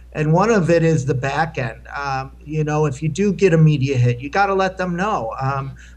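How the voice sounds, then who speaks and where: A man talks at a moderate pace with hardly any pauses, his pitch fairly high and its variation ordinary. Audible room echo surrounds his voice. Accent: American. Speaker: homeless advocate and video maker. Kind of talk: conference panel Q&A. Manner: loud.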